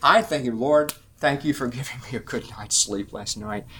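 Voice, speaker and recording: This is a normal speaking voice from a man at medium pitch. He moves at a moderate pace with ordinary pitch variation. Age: 60s. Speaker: preacher / Bible teacher. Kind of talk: sermon; group discussion.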